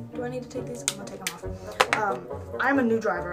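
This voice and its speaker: Clear music plays in the background behind a woman talking. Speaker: vlogger. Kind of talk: casual vlog chat. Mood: annoyed, ranting. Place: home room. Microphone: webcam.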